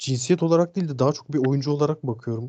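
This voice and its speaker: At a fairly quick pace, a man speaks in a dark, mellow tone with ordinary pitch variation. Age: 20s. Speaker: gamer. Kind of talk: interview.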